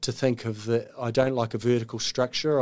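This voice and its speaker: A man's medium-pitched voice with a New Zealand accent and monotone, flat intonation. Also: very clean recording, silent background. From New Zealand, Auckland. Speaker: veterinary surgeon. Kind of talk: interview. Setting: studio.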